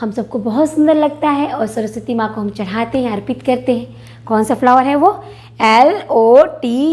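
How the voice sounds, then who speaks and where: A woman's high voice with lively intonation. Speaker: teacher. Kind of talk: tutorial. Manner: slow, repetitive spelling out.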